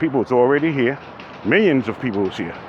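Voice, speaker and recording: A man speaks at a medium pitch and a fairly quick pace. There is noticeable background noise. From New York City. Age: 60s. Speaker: vlogger. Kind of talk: casual monologue while walking. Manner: animated.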